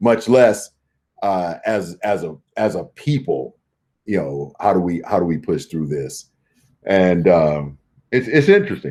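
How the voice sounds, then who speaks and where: A man with a very deep, low pitch talks loudly at a fairly slow pace, his dark, mellow tone marked by very wide pitch swings and long, frequent pauses. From US, central Los Angeles. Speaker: management consultant. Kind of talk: interview conversation. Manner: articulate, with many repetitions.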